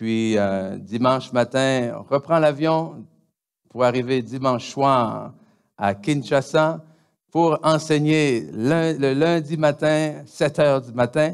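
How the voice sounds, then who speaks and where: In a Quebec accent, a man speaks at a very slow pace. His pitch is fairly high, with ordinary pitch variation. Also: very clean recording, silent background. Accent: Québécois. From DR Congo. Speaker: pastor. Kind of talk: church announcements. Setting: church. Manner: halting, many hesitations.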